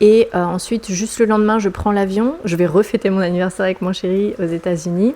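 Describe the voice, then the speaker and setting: Talking at a fairly quick pace with hardly any pauses, a woman keeps a medium pitch and fairly even intonation. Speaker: vlogger. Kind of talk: personal vlog monologue. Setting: at home. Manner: hesitant, many fillers.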